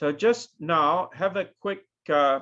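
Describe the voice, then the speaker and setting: A man with a New Zealand accent speaks at a high pitch against a quiet background. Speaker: professor. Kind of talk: lecture.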